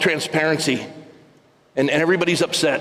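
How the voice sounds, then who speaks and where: A man talks at a very fast pace. Audible room echo and noticeable background noise fill the recording. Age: 60s. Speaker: pastor. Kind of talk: sermon. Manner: repetitive halting stammer.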